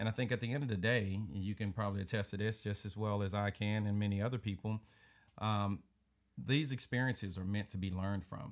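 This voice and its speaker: Fairly even intonation with a Southern US accent on a very clean recording with a silent background. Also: man, fairly low pitch for a man. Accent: Southern drawl. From US South. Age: 40s. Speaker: podcast host. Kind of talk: casual chat. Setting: home studio.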